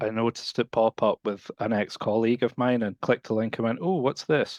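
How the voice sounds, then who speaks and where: Against a quiet background, a man with a Scottish accent talks at a fairly quick pace and medium pitch. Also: dry, close sound with no echo. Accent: non-North American, Scottish. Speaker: support professional. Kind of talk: podcast interview.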